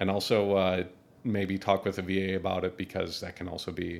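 A man with an Upper Midwest accent and a very deep, low pitch talks at a moderate pace. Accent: Upper Midwest American. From US Midwest, Minneapolis, Minnesota. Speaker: army veteran, engineering grad student. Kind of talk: casual interview.

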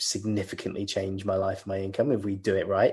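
Against a quiet background, a man with a British accent speaks at a fairly low pitch. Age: 30s. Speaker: legal engineer. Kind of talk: interview.

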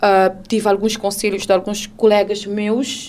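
A woman's fairly high voice at a moderate pace. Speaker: radio presenter sharing her story of abuse. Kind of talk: testimony, personal account of domestic abuse. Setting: radio studio. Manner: halting, reflective, pausing and restarting sentences.

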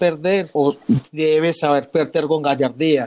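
A man with an unremarkable speaking voice talks at a moderate pace and a fairly high pitch. His intonation is fairly even in a very clean recording with a silent background. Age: 30s. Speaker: football fan. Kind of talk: casual chat.

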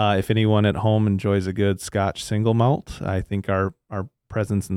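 With an Upper Midwest accent, a man talks at a moderate pace with a fairly low pitch and a dark, mellow tone, on a very clean recording with a silent background and a dry, close sound with no echo. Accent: Upper Midwest American. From southern Minnesota (Le Sueur). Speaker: agronomist, agricultural products manager. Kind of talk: podcast interview. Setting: studio.

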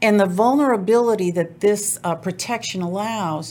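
An unremarkable speaking voice from a woman with an American accent, fairly slow pace and ordinary pitch variation. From US South, New Orleans. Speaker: divorce lawyer. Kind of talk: interview.

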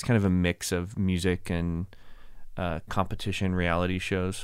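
Speaking at a fairly slow pace, a man uses a very deep, low pitch. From Dallas area, Texas. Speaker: communication professor. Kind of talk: casual interview chat. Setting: studio.

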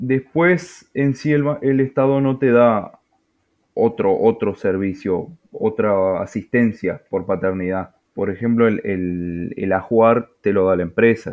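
A man with a Uruguayan accent speaks at a very slow pace. His medium-pitched voice carries lively intonation. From Uruguay, Tacuarembó. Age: young. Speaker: salesman and father. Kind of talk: personal testimony. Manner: halting, repeats words.

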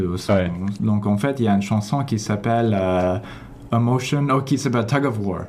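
A man with an English accent speaks at a moderate pace in a fairly low pitch, with ordinary pitch variation, very even loudness and audible room echo. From Toronto, Canada. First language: English (speaking French). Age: 30s. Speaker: orchestra conductor. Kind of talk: radio interview. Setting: radio studio.

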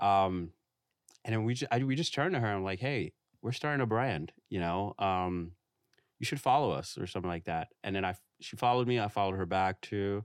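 With a normal speaking voice, a man talks at a fairly quick pace and a fairly low pitch with ordinary pitch variation, the sound dry and close with no echo against a quiet background. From New York City (Queens). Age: 20s. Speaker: fashion designer. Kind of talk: casual chat. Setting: studio.

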